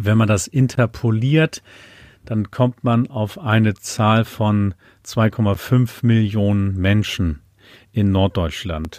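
A man talks very slowly at a fairly low pitch with ordinary pitch variation. The recording is very clean with a silent background and a dry, close sound with no echo. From Lower Saxony, Lüneburg Heath. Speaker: Low German language activist and singer. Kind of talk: interview conversation. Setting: home office.

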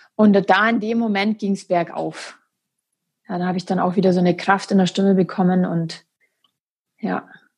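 This somewhat breathy voice speaks with monotone, flat intonation and long, frequent pauses. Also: woman, medium pitch for a woman, moderate pace. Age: 30s. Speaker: naturopath and amputee. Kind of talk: interview about her life story. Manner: halting with many fillers.

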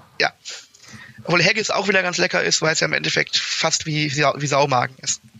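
Over noticeable background noise, a man talks at a fairly quick pace with a fairly high pitch. His loudness stays very even, and his pitch varies in an ordinary way. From Germany, Berlin. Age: 20s. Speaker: university student, fraternity member. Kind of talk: casual interview.

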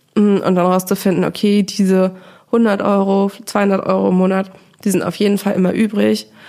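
The intonation is flat and monotone. Loudness stays very even throughout. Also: woman, medium pitch for a woman, moderate pace. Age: 30s. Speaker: finance journalist and podcaster. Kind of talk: interview.

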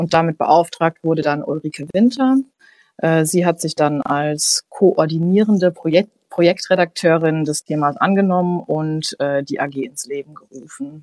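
A plain, everyday voice speaks at a fairly slow pace with ordinary pitch variation. The sound is dry and close, with no echo. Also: woman, fairly low pitch for a woman. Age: 20s. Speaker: newspaper editor. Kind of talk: casual chat.

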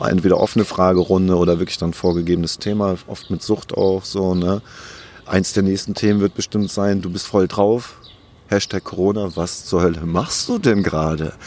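A man's very deep, low pitch at a moderate pace, with fairly even intonation. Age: 40s. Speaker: former criminal turned YouTuber and author. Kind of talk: interview. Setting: outdoors in a park.

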